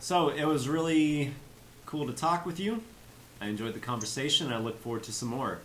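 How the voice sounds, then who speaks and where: Delivered at a fairly quick pace, the speech has lively intonation and audible room echo. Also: man, fairly high pitch for a man. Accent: slight Kansas. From US Midwest, Kansas. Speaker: English teacher and YouTuber. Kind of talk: casual chat.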